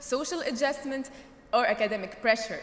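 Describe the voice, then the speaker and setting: Amid audible room echo and noticeable background noise, a woman with a high pitch talks at a moderate pace. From Tunisia. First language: not English (English is third language). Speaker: graduating student speaker. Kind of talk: commencement speech. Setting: stage with audience.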